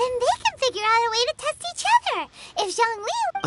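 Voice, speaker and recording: In a put-on character voice, the speaker sounds squeaky and extremely high-pitched, with an energetic tone at a moderate pace. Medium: fan dub. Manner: brash, energetic.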